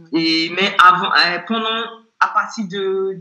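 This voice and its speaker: A woman speaks at a medium pitch. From Nigeria. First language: not French; learned it at 16-17 (speaking French). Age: 30s. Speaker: consultant and former transport entrepreneur. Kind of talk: interview conversation.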